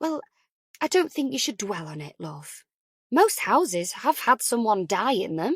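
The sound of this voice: Putting on a character voice with a slightly husky edge, a woman speaks at a fairly high pitch and fairly slow pace, with big pitch swings.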